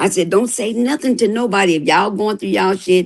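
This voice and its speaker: A woman's medium-pitched voice with vocal fry, at a fairly quick pace. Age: 60s. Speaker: livestream panelist. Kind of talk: casual chat. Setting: live stream.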